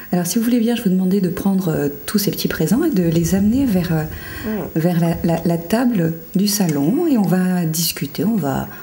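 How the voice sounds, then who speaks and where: Hardly pausing, a woman speaks at a moderate pace and medium pitch with ordinary pitch variation and very even loudness, with noticeable background noise behind her. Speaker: TV voice-over commentator. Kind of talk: TV show host interview. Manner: casual, friendly.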